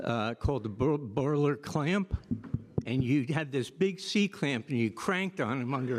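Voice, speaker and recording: A man's plain, everyday voice at medium pitch, moderate pace and lively intonation, on a very clean recording with a silent background. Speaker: orthopaedic surgeon. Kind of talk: panel discussion.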